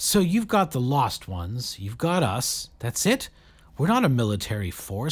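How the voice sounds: What you hear is a natural reading voice.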